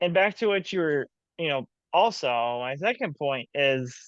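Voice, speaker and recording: Dry and close with no echo, a man with an unremarkable speaking voice talks at a fairly slow pace, his fairly high pitch shaped by lively intonation. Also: quiet background. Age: 20s. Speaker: business owner and coach. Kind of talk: casual chat.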